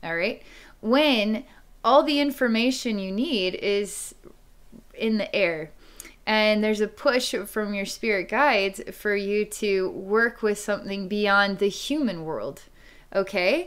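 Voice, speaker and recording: With ordinary pitch variation, a woman speaks at a very slow pace. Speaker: psychic reader. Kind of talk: psychic reading monologue. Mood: calm, reflective. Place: home room. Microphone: webcam.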